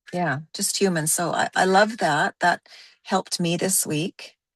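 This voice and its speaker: Against a quiet background with a dry, close sound and no echo, a woman talks in an unremarkable speaking voice, fairly low in pitch with ordinary pitch variation. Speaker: course participant. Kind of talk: casual chat.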